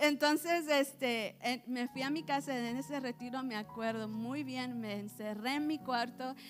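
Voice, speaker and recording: A woman with an English accent speaks at a high pitch and a fairly slow pace, with ordinary pitch variation and hardly any pauses. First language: English (speaking Spanish). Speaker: churchgoer giving testimony. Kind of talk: testimony. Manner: halting.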